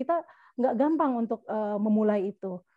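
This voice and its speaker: A woman with a dark, mellow tone speaks at a fairly quick pace. Her pitch swings very widely, and the sound is dry and close with no echo. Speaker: podcast co-host. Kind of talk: casual chat.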